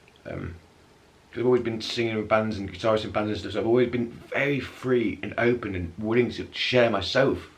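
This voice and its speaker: Medium-pitched male voice in an English accent, fairly quick and fairly even, with audible room echo and noticeable background noise. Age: 30s. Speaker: vlogger with multiple sclerosis. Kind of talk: casual vlog. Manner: halting; mumbling at times.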